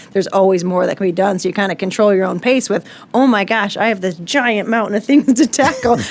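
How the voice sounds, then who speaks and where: Very fast speech from a woman at medium pitch, with ordinary pitch variation. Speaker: mortgage company executive. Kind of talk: podcast interview.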